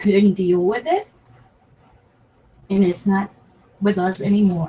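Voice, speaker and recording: Dark, mellow tone, somewhat breathy, with fairly even intonation at a fairly slow pace. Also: woman, medium pitch for a woman. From Puerto Rico. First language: Spanish. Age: 60s. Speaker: crafting YouTuber. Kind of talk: personal talk to camera. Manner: halting.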